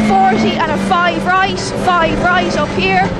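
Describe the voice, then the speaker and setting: Loud background noise fills this recording. A woman speaks, and the sound is dry with no echo. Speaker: rally co-driver. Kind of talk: rapid-fire rally pace notes called to the driver. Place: car. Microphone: helmet.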